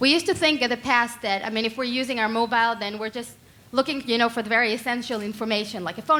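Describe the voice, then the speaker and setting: With ordinary pitch variation, the words come at a very fast pace. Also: woman. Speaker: startup co-founder. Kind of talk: startup pitch.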